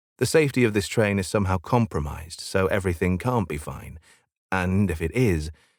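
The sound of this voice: Someone reads in an unforced voice. Very little sound surrounds it.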